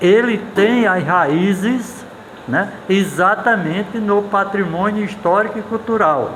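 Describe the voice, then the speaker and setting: Amid audible room echo and noticeable background noise, a man with a high pitch talks at a very slow pace with very even loudness and ordinary pitch variation. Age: 70s. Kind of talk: casual interview talk. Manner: halting, with repeated fillers.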